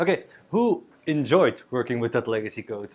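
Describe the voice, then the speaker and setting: A man speaks with a Belgian accent at a moderate pace, his pitch swinging very widely. Background noise is noticeable. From Belgium. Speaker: software developer, conference speaker. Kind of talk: tech talk at a user group. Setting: stage with live audience. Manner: joking, casual, with many fillers.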